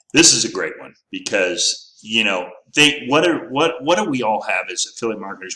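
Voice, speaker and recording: A man talks at a fairly quick pace. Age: 60s. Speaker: affiliate marketing YouTuber. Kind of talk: casual commentary video. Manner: halting, many fillers.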